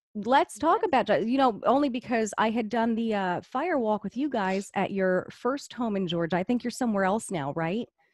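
In a normal speaking voice, a woman talks at a fairly high pitch and a moderate pace, hardly pausing, with a dry sound and no echo. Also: lively intonation. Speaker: podcast host. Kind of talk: casual conversation. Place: home room. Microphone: studio mic.

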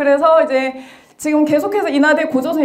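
A woman talks at a fairly quick pace. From South Korea. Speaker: history lecturer. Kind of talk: lecture. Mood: friendly, smiling. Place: hall. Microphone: handheld.

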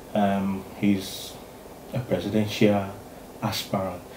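A man's fairly low voice with audible room echo and light background noise. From Ghana. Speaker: YouTube interviewer. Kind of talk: interview. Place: home room.

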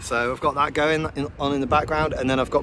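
A man is heard against loud background noise in a dry sound with no echo. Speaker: cyclist vlogger. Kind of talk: casual vlog chat. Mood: cheerful, relaxed. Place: open country. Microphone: phone near.

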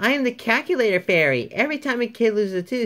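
In a put-on character voice, a female-sounding speaker talks very fast at a fairly high pitch.

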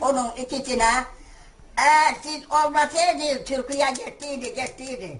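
Against noticeable background noise, a woman talks at a fairly slow pace in a high voice. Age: 80s+. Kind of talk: casual talk, addressing prime minister.

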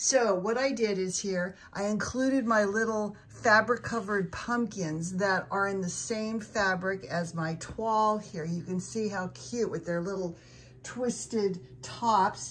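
A woman talks at a fairly slow pace in a warm, enthusiastic tone that is somewhat breathy, with ordinary pitch variation. Light background noise can be heard. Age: 70s. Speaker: lifestyle YouTuber. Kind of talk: home decor tutorial. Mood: warm, pleased. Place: home room. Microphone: phone near.

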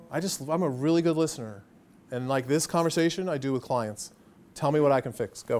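An animated speaker with an American accent talks at a fairly quick pace, using ordinary pitch variation. Faint music plays in the background. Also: man, fairly high pitch for a man. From Pennsylvania, US (Coopersburg); Pennsylvania. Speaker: marketing agency executive; guest. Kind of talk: lecture. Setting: stage with audience. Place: classroom.

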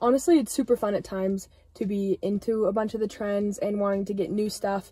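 A somewhat breathy woman with a dark, mellow tone, a fairly quick pace and fairly even intonation. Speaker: fashion vlogger. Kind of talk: casual vlog chat. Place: car. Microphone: phone near.

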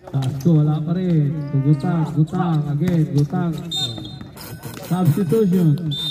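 A man talks fairly slowly with a fairly high pitch, fairly even intonation, and long, frequent pauses. Noticeable background noise runs underneath. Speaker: game commentator filming. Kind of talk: sports commentary. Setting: basketball gym, live game. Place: street.

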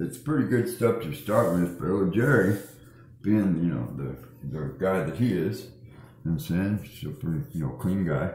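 Moderately paced speech from a man with a very deep, low pitch, in a room with audible echo. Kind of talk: casual vlog chat. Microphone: phone near.

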